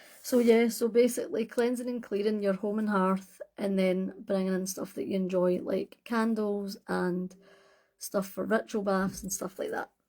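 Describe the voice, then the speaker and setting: A woman with a Scottish accent speaks at a moderate pace in a relaxed, dark, mellow tone, her medium-pitched voice flat and monotone. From Scotland. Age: 40s. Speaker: witchcraft content creator. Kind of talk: casual livestream chat. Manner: relaxed, hesitant with fillers.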